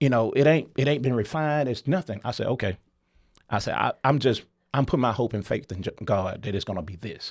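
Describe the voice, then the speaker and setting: Lively intonation and a strong Southern US accent come through on a very clean recording with a silent background. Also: man. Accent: deep Southern drawl. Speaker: company founder and CEO. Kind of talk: interview storytelling. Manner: animated.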